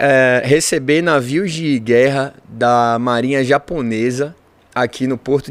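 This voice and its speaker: A man in a Bahian accent with fairly even intonation. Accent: Bahian accent, noticeable. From Brazil, Salvador, Bahia. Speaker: engineer and business owner. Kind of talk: interview conversation.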